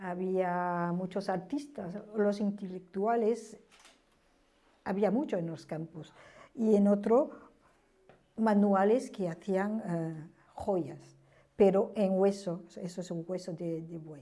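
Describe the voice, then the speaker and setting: A woman at medium pitch with a dark, mellow tone, ordinary pitch variation, big swings in loudness, a very slow pace and long, frequent pauses. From France. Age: 70s. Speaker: witness of history. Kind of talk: testimony. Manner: halting.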